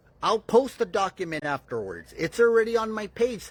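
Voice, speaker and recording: A man shouts loudly in a high voice with lively intonation, the sound dry and close with no echo in a very clean recording with a silent background. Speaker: political podcast host. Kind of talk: live-stream commentary. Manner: loud, yelling.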